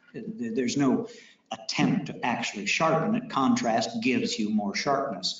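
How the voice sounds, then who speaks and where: A man with a fairly high pitch talks at a moderate pace, his pitch swinging very widely, with audible room echo. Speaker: technology presenter. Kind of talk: technical presentation to audience.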